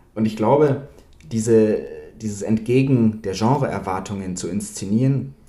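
This man's voice is pitched fairly low. Echo from the room can be heard. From Bavaria, Germany. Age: young. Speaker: film author. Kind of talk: interview. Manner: halting, many fillers.

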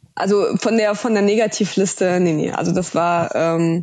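A woman's fairly slow speech carries fairly even intonation over a quiet background. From Russia, moved to Germany at nine. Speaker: startup founder. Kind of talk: podcast interview.

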